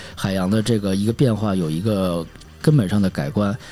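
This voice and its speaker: Fairly quick and fairly even in intonation, a man talks in a normal speaking voice at a fairly low pitch. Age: 40s. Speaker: podcast host. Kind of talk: solo podcast monologue. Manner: casual, with filler words.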